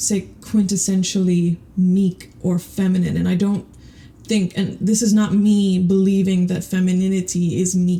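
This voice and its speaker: This woman's voice sits at a medium pitch, with a dark, mellow tone and fairly even intonation. It is somewhat breathy. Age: 30s. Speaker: podcast host. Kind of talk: casual monologue. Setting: home closet. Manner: rambling, hesitant with repetitions.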